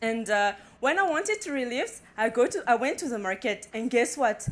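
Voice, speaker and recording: Against noticeable background noise, a woman speaks with a high pitch and lively intonation. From Madagascar, Antananarivo. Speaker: entrepreneur. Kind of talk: competition pitch. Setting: stage with audience. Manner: halting.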